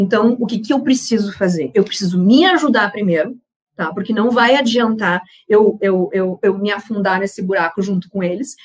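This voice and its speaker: A woman's somewhat breathy voice at a medium pitch and moderate pace, with ordinary pitch variation. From southern Brazil, Rio Grande do Sul (Uruguaiana). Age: 30s. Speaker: panel speaker on women and investing. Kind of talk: personal testimony in a panel talk. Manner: casual, with frequent fillers and repetitions.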